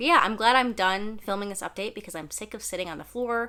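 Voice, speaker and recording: Her tone is bright and sharp, with ordinary pitch variation. The woman is recorded very cleanly against a silent background. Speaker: manga reviewer. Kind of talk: casual vlog review. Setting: sitting on the floor, filmed on camera. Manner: casual, conversational.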